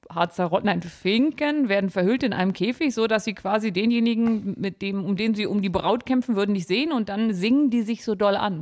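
A woman's unremarkable speaking voice, medium in pitch, with ordinary pitch variation and a fairly quick pace. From Harz, Germany. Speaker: podcast guest. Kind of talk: casual chat.

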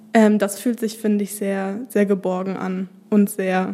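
A woman speaks at a fairly slow pace in a medium pitch, her intonation monotone and flat, with noticeable background noise behind her. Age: 20s. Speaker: social work student. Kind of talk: casual chat. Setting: studio.

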